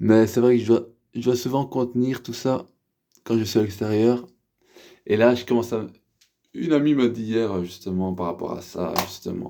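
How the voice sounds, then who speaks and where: In a very clean recording with a silent background, a man with a dark, mellow tone and medium pitch talks at a moderate pace, with ordinary pitch variation and long, frequent pauses. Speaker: vlogger sharing spiritual awakening. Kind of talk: personal testimony monologue. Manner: halting, repetitive; keeping voice down.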